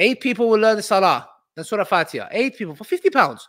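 In a British accent, a man talks at a high pitch and a moderate pace with an animated tone and ordinary pitch variation. The sound is dry and close with no echo, on a very clean recording with a silent background. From UK, Kurdish heritage. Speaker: livestream host and fundraiser. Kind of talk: live stream fundraising and Q&A. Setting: livestream.

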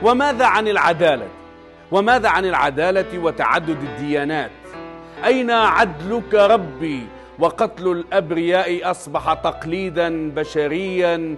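Music plays in the background as a man with a high voice speaks very slowly, with ordinary pitch variation. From Tunisia. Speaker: TV presenter; poet. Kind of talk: poetry reading.

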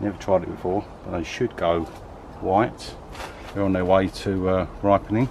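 Speaking at a moderate pace, a man uses a very deep, low voice with monotone, flat intonation over light background noise. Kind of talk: casual vlog walkthrough. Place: garden. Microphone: phone near.

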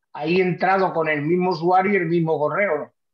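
A man's high voice at a fairly quick pace, fairly even in intonation, with audible room echo and a quiet background. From Seville, Spain; Spain. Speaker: caller. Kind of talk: Q&A on a video call. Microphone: video call.

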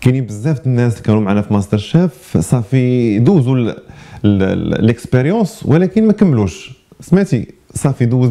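A man talks at a fairly quick clip with lively intonation. The background is quiet. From Morocco. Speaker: chef and restaurant manager; interviewee. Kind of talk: interview. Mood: relaxed, smiling. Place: studio.

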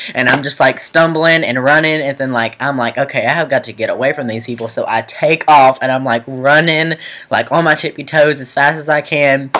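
A man talks at a fairly quick pace with hardly any pauses, over noticeable background noise. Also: fairly even intonation. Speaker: student vlogger. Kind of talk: casual vlog storytelling. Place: home room. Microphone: webcam.

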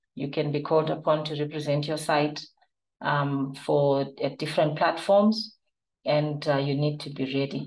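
A woman's very deep, low pitch at a moderate pace, with fairly even intonation. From Zimbabwe. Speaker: clinical trial manager and nurse. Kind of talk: webinar presentation. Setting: online webinar. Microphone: webcam.

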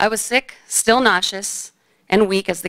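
A woman speaks with vocal fry and fairly even intonation against a quiet background. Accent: American. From Phoenix, Arizona. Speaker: high school basketball coach and cancer survivor. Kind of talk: personal story told to an audience. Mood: serious, reflective. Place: hall. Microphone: podium.

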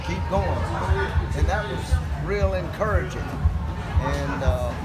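A man speaks over loud background noise. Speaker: runner. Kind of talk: interview answer. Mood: reflective, warm. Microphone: handheld.

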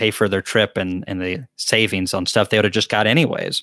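Bright, sharp tone from a man with a Southern US accent, ordinary pitch variation, dry sound with no echo and a quiet background. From US South. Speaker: beekeeper and channel host; beekeeper hosting live Q&A. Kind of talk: live Q&A chat. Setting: livestream from a laptop. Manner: casual, chatty. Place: home room. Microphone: studio mic.

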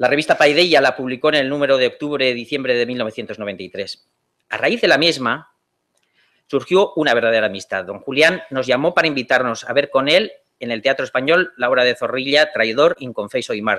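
A man with a plain, everyday voice speaks at a moderate pace, his pitch fairly high with ordinary variation. The background is quiet. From Spain. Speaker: lawyer; conference panelist. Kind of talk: conference talk. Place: hall. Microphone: podium.

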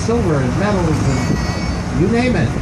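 Crowd noise fills the background. A man talks at a fairly slow pace. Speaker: boat tour guide. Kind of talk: tour commentary. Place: boat.

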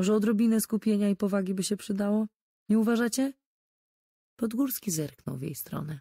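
A woman's somewhat breathy voice sits at a medium pitch with a dark, mellow tone and ordinary pitch variation. Long, frequent pauses break up her speech, recorded in a dry, close sound with no echo. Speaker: audiobook narrator. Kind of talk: audiobook reading of a crime novel.

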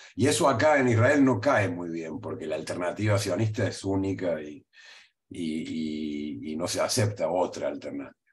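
A man talks at a moderate pace with a fairly low, somewhat breathy voice. His pitch swings very widely. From Argentina, Córdoba; Argentina. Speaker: history professor. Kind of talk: interview. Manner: halting, frequent fillers and repeats. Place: home room. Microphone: webcam.

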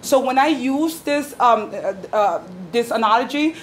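A woman's high voice in a New York accent, with ordinary pitch variation and light background noise. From New York City, the Bronx. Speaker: activist, former school paraprofessional. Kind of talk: speech to audience. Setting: stage with live audience. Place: meeting room. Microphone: camera far.

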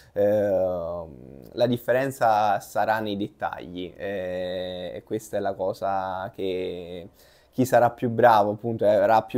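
Fairly low pitch from a male speaker. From southern Italy, Salerno; Italy. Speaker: water polo player. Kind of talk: interview. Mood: relaxed, smiling. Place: office. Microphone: lapel.

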